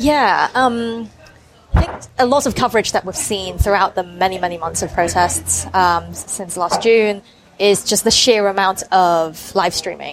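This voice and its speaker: A woman talks in a normal speaking voice at a medium pitch. Her pace is fairly slow, and her pitch varies in an ordinary way. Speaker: journalist. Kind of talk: interview. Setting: cafe.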